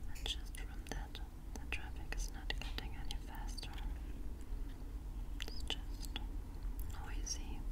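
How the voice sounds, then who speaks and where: Long, frequent pauses break up a woman's very slow delivery. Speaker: ASMR creator. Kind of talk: ASMR roleplay, personal attention.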